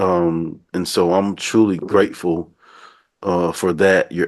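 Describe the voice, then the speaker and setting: Speaking very slowly with a Southern US accent, a man keeps his very deep, low voice monotone and flat against a quiet background. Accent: down south. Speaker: podcast host. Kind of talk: casual interview chat.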